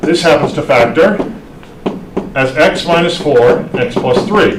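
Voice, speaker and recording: There is noticeable background noise and audible room echo. A man talks in a high-pitched voice. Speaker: math instructor. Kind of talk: lecture. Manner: fast.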